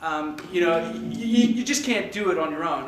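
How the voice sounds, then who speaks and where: Ordinary pitch variation marks this man's speech. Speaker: startup founder. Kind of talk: pitch presentation. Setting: stage with audience. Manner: halting; loud.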